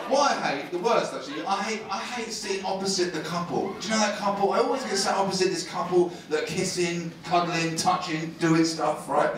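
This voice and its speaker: A man's high-pitched voice at a fairly quick pace with hardly any pauses and ordinary pitch variation, amid noticeable background noise and audible room echo. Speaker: stand-up comedian. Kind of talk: stand-up comedy set, live to a laughing crowd, with crowd work and punchline stories. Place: stage.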